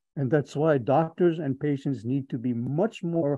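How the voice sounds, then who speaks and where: Over a quiet background, a man's speech shows ordinary pitch variation. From Hawaii. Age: 70s. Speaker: physician. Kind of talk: lecture. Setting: online webinar. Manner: upbeat; halting.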